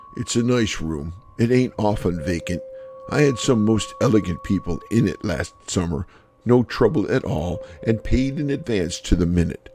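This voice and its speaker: A man's put-on character voice, guttural and medium in pitch, with lively intonation at a moderate pace. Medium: read story. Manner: ungrammatical, rambling.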